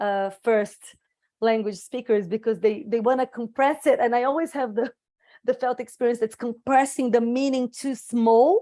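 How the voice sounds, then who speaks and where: A woman talks with a Portuguese accent at a moderate pace. Her intonation is fairly even. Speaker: circle participant. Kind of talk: reflective group sharing. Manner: halting, many restarts.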